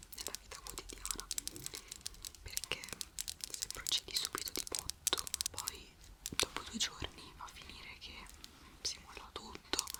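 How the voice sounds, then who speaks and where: A woman whispers at a fairly slow pace, with long, frequent pauses and a calm, gentle tone. Her loudness swings widely, and there is noticeable background noise. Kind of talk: ASMR relaxation talk with advice to the viewer. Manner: soft-spoken, calm, gentle.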